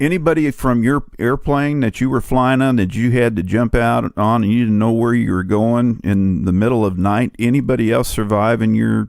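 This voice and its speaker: A man's plain, everyday voice at medium pitch and moderate pace, with ordinary pitch variation, very even loudness and hardly any pauses. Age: 60s. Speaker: radio host. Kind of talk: interview. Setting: radio show.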